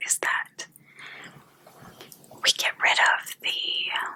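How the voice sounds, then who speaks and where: Whispering at a very slow pace, a woman is heard over noticeable background noise. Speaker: energy healer. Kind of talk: ASMR spiritual healing talk. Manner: soft-spoken.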